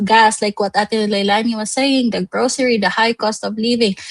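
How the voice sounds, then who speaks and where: Speaking with a Visayan Filipino accent, a woman uses a fairly high pitch and fairly even intonation, the sound dry and close with no echo. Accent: Filipino (Cebuano) English. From Philippines, Cebu. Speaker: livestream host. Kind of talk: live online show, motivational business talk. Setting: livestream.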